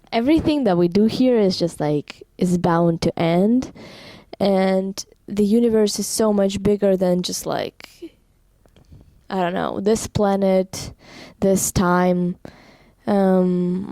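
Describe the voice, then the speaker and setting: At a very slow pace, a woman with a non-native accent speaks in a dark, mellow tone. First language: not English. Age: 18. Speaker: vlogger. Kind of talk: casual vlog monologue. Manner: halting, with fillers.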